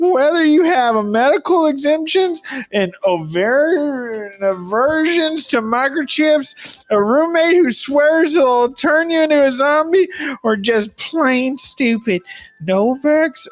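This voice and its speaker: A woman puts on a character voice, pitched high and delivered at a fairly unhurried pace. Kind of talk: mock advertisement. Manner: goofy.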